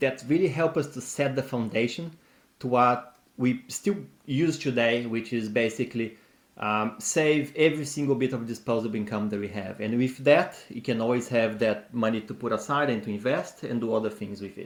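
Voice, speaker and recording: A man with a non-native accent, at a medium pitch and a moderate pace. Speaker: personal finance YouTuber. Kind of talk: casual advice talk.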